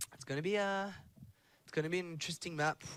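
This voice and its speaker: A man with a French accent and ordinary pitch variation. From France. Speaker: esports commentator. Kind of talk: live commentary.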